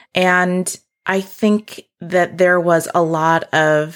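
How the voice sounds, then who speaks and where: Against a silent background, a woman's voice comes through on a very clean recording. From South Dakota, US Midwest. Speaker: homesteader and land steward. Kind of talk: casual interview conversation.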